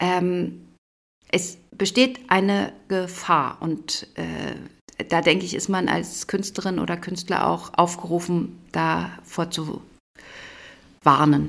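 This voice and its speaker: Long, frequent pauses break up a woman's very slow delivery. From East Berlin. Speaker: theatre director. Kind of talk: interview.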